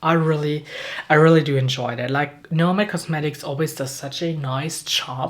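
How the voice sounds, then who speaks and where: A woman speaks in a very deep, low voice over noticeable background noise. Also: moderate pace. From Germany. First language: German. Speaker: beauty youtuber. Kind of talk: casual chat. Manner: animated; halting.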